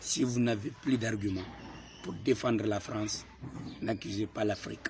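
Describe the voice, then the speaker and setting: A man with a fairly low voice talks fairly slowly, his pitch varying in an ordinary way. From Guinea. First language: a Guinean language, not French (speaking French). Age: young. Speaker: political activist. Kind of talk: political address to camera.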